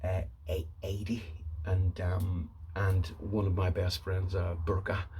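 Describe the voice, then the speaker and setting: Somewhat breathy and very deep in pitch, a man speaks in a Derry accent with monotone, flat intonation and audible room echo. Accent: Northern Irish (Derry). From Northern Ireland, Derry. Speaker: YouTuber. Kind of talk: casual storytelling monologue. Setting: at home by the fire. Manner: halting, many fillers.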